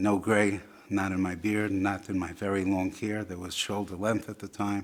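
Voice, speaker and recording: A man talks at a moderate pace in a fairly low voice. His intonation stays monotone and flat. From Buffalo, New York, US. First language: Yiddish. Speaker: interviewee telling life story. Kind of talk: personal testimony.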